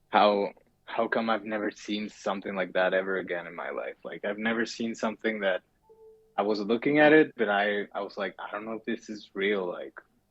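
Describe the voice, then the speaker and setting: With a Spanish accent, a man talks at a fairly quick pace in a fairly low pitch. His intonation stays fairly even while his loudness swings widely. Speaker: digital artist. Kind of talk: casual interview.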